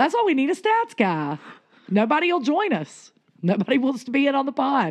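Her voice is high for a woman, and she speaks at a fairly quick pace with very wide pitch swings. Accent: Southern US. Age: 40s. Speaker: podcast co-host. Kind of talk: casual chat.

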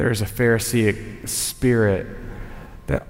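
With a Southern US accent, a man speaks fairly slowly with fairly even intonation, audible room echo, and noticeable background noise. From Tennessee. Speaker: communications director and chapel speaker. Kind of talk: sermon. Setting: college chapel with audience.

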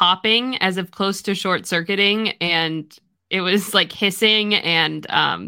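The voice reads in an unforced way. Behind it, all is quiet.

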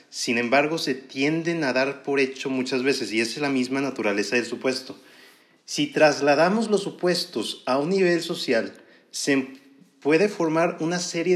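This man speaks in a northern Mexican accent at a fairly high pitch. His pace is fairly slow and his pitch variation ordinary. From northern Mexico. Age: 20s. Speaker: podcaster, student. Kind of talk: monologue podcast. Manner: relaxed. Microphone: professional microphone.

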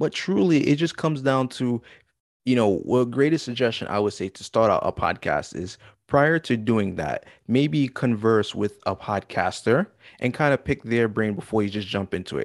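Over a quiet background, a man with a plain, everyday voice speaks at medium pitch and a moderate pace, the sound dry and close with no echo. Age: 20s. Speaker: podcaster. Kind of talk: casual chat.

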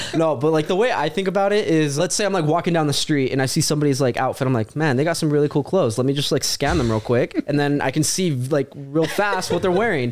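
A man rattles along at a very fast pace with hardly any pauses, very even loudness, a fairly high pitch and ordinary pitch variation, over noticeable background noise. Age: 20s. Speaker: podcast host. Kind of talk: casual chat.

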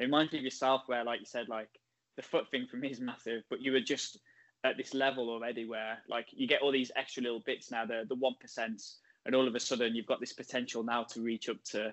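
A man with a medium pitch rushes along at a very fast pace in a monotone, flat intonation. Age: 30s. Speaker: podcast host and lifter. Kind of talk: interview.

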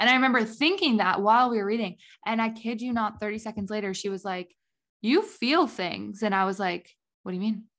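A plain, everyday voice with an American accent and ordinary pitch variation. The background is quiet. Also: woman, fairly high pitch for a woman. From US Midwest, Indiana. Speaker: podcast co-host. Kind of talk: casual chat.

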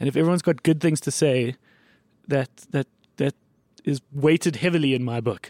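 Dry, close male speech with no echo in a South African accent, fairly high-pitched with a dark, mellow tone, fairly quick with ordinary pitch variation and long, frequent pauses. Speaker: podcast host. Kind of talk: casual chat.

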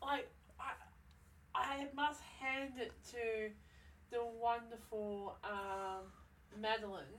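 Very slow pace with long, frequent pauses, ordinary pitch variation, and noticeable background noise. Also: woman. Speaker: podcast co-host. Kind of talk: casual chat.

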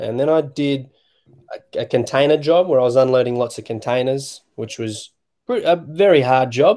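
In an Australian accent, the man's voice has a dark, mellow tone. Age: 20s. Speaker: youth basketball volunteer. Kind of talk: casual interview. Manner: halting, many fillers.

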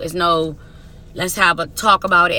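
Her voice is fairly low for a woman, but her tone is animated, bright and sharp. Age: 30s. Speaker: podcast co-host. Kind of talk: casual chat.

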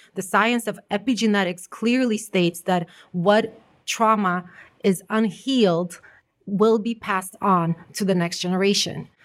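A woman's normal speaking voice, medium in pitch, with fairly even intonation at a fairly slow pace. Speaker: life coach and artist. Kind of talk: casual chat. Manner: warm, laughs often.

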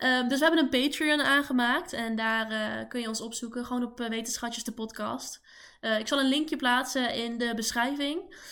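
A woman speaks at a moderate pace with a high pitch and ordinary pitch variation, her tone bright and sharp. The recording is very clean, with a silent background. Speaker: podcast co-host, toxicology student. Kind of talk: casual chat.

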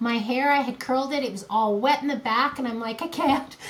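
Against noticeable background noise, a woman with a high pitch talks at a moderate pace. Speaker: podcast co-host. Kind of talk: casual chat.

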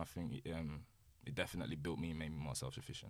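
A man speaks at a very fast pace with vocal fry. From Birmingham, England. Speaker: rapper and music producer. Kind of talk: casual chat.

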